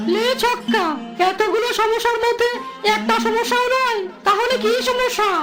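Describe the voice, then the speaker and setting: A cartoonish character voice speaks at an extremely high pitch and a moderate pace. Clear music sits in the background. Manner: fast hawker patter.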